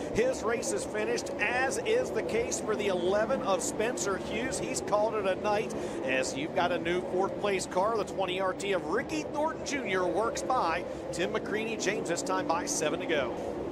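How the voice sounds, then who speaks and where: A man speaks at a high pitch with lively intonation and an animated, excited tone. Noticeable background noise can be heard. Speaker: race announcer. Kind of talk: live race commentary, rapid play-by-play call. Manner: fast talker; animated, urgent, excited at key moments.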